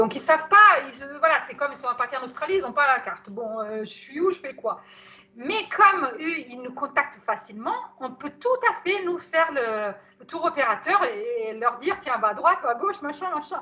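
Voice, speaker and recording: A woman speaks in a raised, projected voice with a bright, sharp tone and high pitch. Her pitch swings very widely, her loudness varies a lot, and her pace is moderate. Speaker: psycho-body therapist giving a webinar on anthroposophy. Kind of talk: webinar talk. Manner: hesitant, many fillers.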